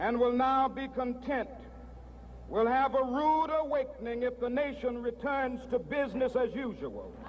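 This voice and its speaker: A man with an American accent, extremely high-pitched, monotone and flat, at a fairly slow pace. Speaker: civil rights leader giving a public speech. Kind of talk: oratory, public speech to a large crowd. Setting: outdoors, large rally.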